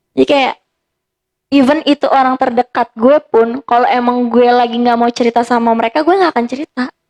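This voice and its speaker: At a fairly quick pace, a woman speaks in a high pitch with ordinary pitch variation, the sound dry and close with no echo. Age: 20s. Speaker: psychology student and karate athlete. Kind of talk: casual chat.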